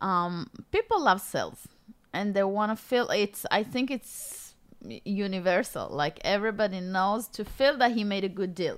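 A woman with an Israeli accent, medium pitch, ordinary pitch variation and a moderate pace, on a very clean recording with a silent background. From Israel, Golan Heights. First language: Hebrew. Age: 30s. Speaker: author and former mall cart seller. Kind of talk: interview.

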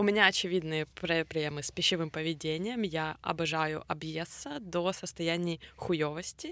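A woman's fairly low voice, bright and sharp in tone, at a moderate pace with fairly even intonation. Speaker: podcast co-host. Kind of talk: casual chat.

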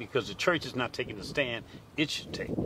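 A man talks with a Louisiana accent. Noticeable background noise sits behind him. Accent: Louisiana Southern US. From US South, Lake Charles, Louisiana. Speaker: minister. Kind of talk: panel discussion.

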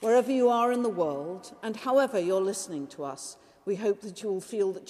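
A woman at a medium pitch speaks at a fairly quick pace with lively intonation in an ordinary speaking voice. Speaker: priest leading the liturgy. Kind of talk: Anglican liturgy, spoken prayers and blessings in a church service. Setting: church service, recorded for podcast. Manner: formal, measured, solemn, reverent.

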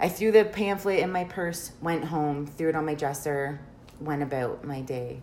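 In a room with audible echo and noticeable background noise, a woman talks at a moderate pace with a very deep, low pitch and ordinary pitch variation. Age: 30s. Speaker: reiki practitioner. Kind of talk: casual chat.

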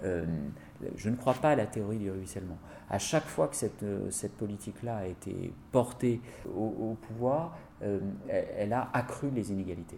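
A man speaks with a fairly low pitch and a dark, mellow tone. His pace is fairly slow and his intonation lively. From France, Seine-Saint-Denis (La Courneuve). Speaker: politician. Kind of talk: interview. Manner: hesitant with frequent fillers.

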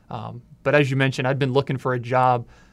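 Man with an American accent at a medium pitch and a fairly quick pace. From Frederick, Maryland, Washington DC area. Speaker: communications staffer, new team member. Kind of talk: casual interview chat.

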